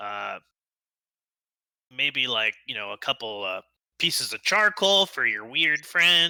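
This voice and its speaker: Using a put-on character voice, a man speaks at a fairly high pitch with very wide pitch swings, a fairly slow pace, and long, frequent pauses. The recording is very clean and dry, close with no echo, over a silent background. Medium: actual play. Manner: rambling, hesitant, salesy.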